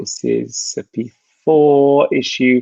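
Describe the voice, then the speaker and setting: Against a quiet background, a man talks with an English accent. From England. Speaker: tech product manager. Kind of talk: live Q&A session. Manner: hesitant, many fillers.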